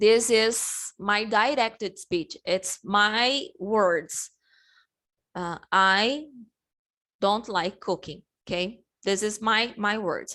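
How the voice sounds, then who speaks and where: Very slowly and with long, frequent pauses, a woman with a Portuguese accent speaks in a fairly high, bright, sharp voice. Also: ordinary pitch variation. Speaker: English teacher. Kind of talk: online class lesson. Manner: halting, many fillers and restarts.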